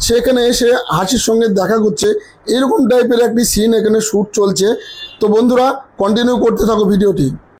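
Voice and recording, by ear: A man talks at a fairly quick, high-pitched clip with few pauses. His voice has a slightly husky edge and ordinary pitch variation.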